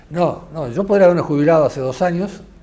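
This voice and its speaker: In an Argentine accent, a man speaks with ordinary pitch variation, his voice carrying audible room echo. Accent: Argentine Spanish (Rioplatense). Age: 60s. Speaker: investigative journalist. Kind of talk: interview conversation. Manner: halting, many fillers.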